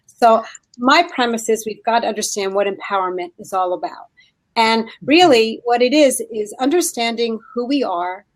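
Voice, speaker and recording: Woman with a New Jersey accent, fairly high in pitch, lively in intonation, at a moderate pace. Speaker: leadership skills training consultant. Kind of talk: casual chat.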